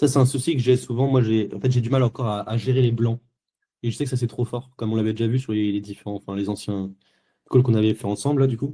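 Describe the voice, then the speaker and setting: A man's medium-pitched voice, dark, mellow and somewhat breathy, at a very fast pace with fairly even intonation. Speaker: sales closer coached live. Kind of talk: live coaching session.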